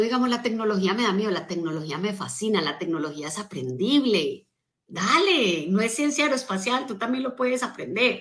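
A woman's fairly high, animated voice with very wide pitch swings, at a moderate pace against a quiet background. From Colombia. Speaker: motivational speaker and business coach; motivational speaker, business coach. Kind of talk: motivational talk on a live stream. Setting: social media live stream. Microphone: phone near.

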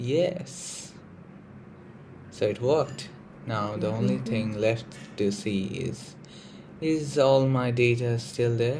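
A somewhat breathy man with an American accent, at a very slow pace and medium pitch, with ordinary pitch variation and long, frequent pauses. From India. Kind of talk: casual tech tutorial to camera. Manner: hesitant, casual.

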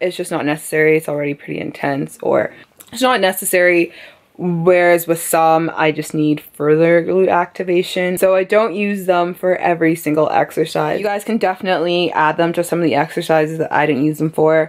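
A woman with a fairly low voice speaks at a fairly quick pace against a quiet background. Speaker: fitness vlogger. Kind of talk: casual vlog chat. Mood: relaxed, playful. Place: home room. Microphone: phone near.

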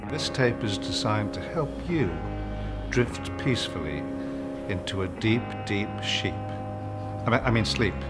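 Loud background noise runs behind a man speaking at a fairly slow pace. He leaves long, frequent pauses. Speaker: actor. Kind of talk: parody relaxation tape read. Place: bar.

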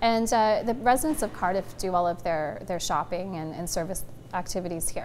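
A woman with a Canadian accent speaks at a fairly quick pace in a plain, everyday voice. Her pitch is medium, and there is light background noise. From southern Alberta, Canada. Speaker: town mayor. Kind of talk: casual interview. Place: office.

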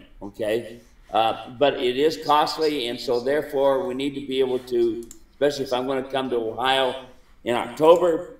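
A man at a moderate pace, with fairly even intonation and audible room echo. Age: 70s. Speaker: mule trainer and ranch owner; mule trainer. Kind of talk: casual chat. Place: home room. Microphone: webcam.

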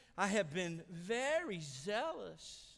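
A man's whiny, high-pitched put-on character voice. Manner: whiny, complaining.

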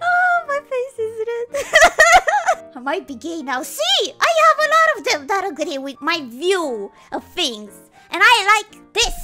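Behind the voice, clear music can be heard. The delivery is fairly slow. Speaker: vtuber. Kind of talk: casual live stream talk. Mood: playful, amused, flustered. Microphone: studio mic.

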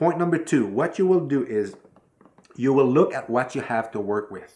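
There is a man talking. He uses lively intonation. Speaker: filmmaking tutor. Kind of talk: tutorial. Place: home room.

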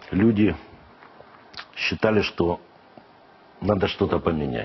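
Fairly slow speech from a man, fairly low in pitch, with ordinary pitch variation. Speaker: football club official; guest. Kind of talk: TV interview. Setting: studio. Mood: earnest, aggrieved about refereeing. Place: studio. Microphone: lapel.

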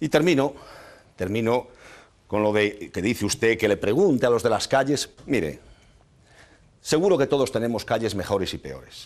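The speaker moves at a moderate pace with lively intonation and long, frequent pauses. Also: man, medium pitch for a man. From northwest Spain, El Bierzo (León); northwest Spain. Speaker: mayor and candidate; mayor, candidate. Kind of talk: heated debate. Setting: TV studio. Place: studio. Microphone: lapel.

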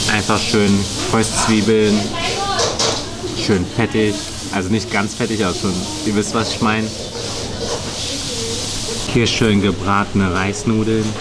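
A man at a fairly slow pace with long, frequent pauses, over music in the background. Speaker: food vlogger. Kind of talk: casual vlog chat. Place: cafe.

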